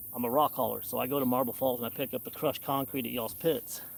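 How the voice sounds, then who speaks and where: Speaking with a Texan accent, a man talks at a very fast pace. His pitch is medium and his intonation fairly even. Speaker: fishing livestreamer; truck driver hauling rock. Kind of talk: live stream commentary. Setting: outdoors by a creek.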